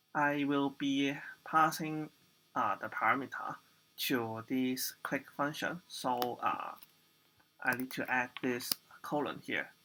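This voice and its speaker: A man's fairly high, bright, sharp voice at a very slow pace, with long, frequent pauses, fairly even intonation, and a very clean recording over a silent background. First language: not English. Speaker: programming tutor. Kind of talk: tutorial. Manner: halting, many fillers.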